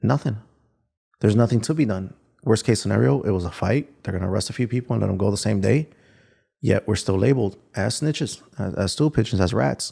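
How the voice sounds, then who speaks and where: In a very clean recording with a silent background, the voice moves at a very fast pace with vocal fry, a dark, mellow tone and lively intonation. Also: man, fairly low pitch for a man. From Chicago. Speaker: former gang member turned victim advocate. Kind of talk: interview answer.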